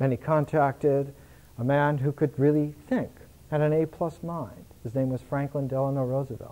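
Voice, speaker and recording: Fairly high in pitch, a man with an American accent speaks in a dark, mellow tone. His intonation is fairly even and his pace moderate. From United States. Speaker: lecturer. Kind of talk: lecture. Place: home room. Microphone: podium.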